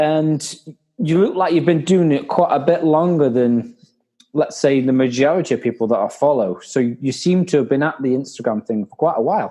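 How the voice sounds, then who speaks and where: With a Staffordshire accent, a man speaks in a fairly high pitch with a dark, mellow tone. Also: ordinary pitch variation, moderate pace. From Staffordshire, England. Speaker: podcast host. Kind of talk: casual chat.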